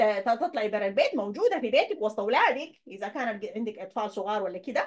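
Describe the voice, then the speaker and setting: A woman speaks with a fairly high pitch. Her voice moves in very wide pitch swings. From Sudan. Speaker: YouTuber. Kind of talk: online presentation with slides. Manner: halting. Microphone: webcam.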